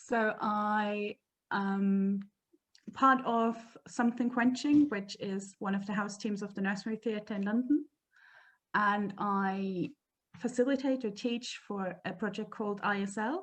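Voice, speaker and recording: A woman with a German accent speaks at a fairly slow pace, somewhat breathy. Her medium pitch follows fairly even intonation. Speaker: improv performer and teacher. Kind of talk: casual chat.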